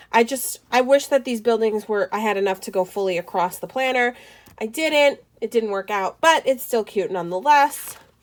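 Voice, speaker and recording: Her intonation lively, a woman is speaking. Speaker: planner vlogger and small business owner. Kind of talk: casual tutorial flip-through. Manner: fast.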